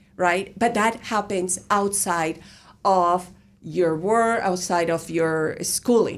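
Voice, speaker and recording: A woman at medium pitch with a Spanish accent, very slow pace, fairly even intonation and very even loudness, in a very clean recording with a silent background. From Colombia. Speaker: university professor. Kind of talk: interview. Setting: radio studio.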